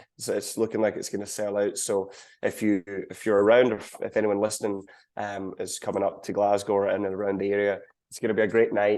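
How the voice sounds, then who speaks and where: Speaking at a very fast pace, a man with a Scottish accent keeps a monotone, flat intonation. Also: quiet background. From Scotland. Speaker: country singer. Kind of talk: interview.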